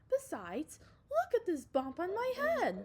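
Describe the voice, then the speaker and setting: This is a squeaky, put-on character voice. It moves at a moderate pace. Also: woman, extremely high pitch for a woman. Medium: read story. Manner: insistent, alarmed.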